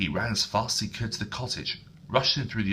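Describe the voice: Just plain reading aloud.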